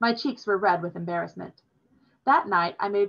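Over a quiet background, the plain reading aloud shows ordinary pitch variation.

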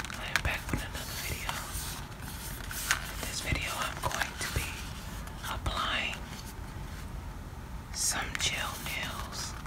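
A woman talks against loud background noise. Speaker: ASMR content creator. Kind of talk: ASMR nail tutorial talk to camera. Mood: calm, relaxing. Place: home room.

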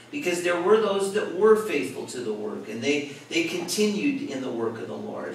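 A man talks at a moderate pace. Audible room echo and light background noise are present. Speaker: pastor teaching a Bible study. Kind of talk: sermon. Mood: warm, light humor. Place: church.

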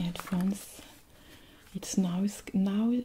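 The speech moves at a very slow pace. Light background noise sits underneath it. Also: woman. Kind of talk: soft-spoken role-play guidance. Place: home room.

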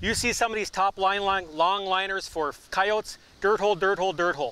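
Recorded dry with no echo, a man talks at a very fast pace. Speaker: professional trapper. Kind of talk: outdoor how-to demonstration. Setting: outdoors. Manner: casual, conversational. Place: waterside.

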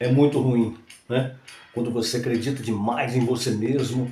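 This man's voice sits at a medium pitch with ordinary pitch variation. He speaks at a fairly slow pace, and room echo is audible. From Brazil. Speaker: announcer, TV presenter. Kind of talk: motivational talk. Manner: casual, conversational. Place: home room.

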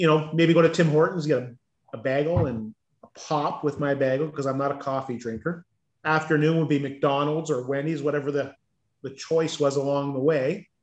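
A man speaks at a fairly quick pace with fairly even intonation. His pitch is fairly high, and the room echo is audible. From Ontario, Canada. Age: 50s. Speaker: weight-loss coaching client. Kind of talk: casual interview. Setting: video call. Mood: candid, reflective. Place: home room. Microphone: video call.

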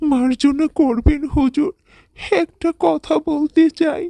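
A cartoonish character voice moves at a fairly slow pace. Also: woman, high pitch for a woman. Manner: obsequious, fawning.

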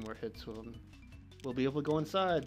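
A man speaking at a moderate pace, with music in the background. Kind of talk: let's play commentary. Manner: casual.

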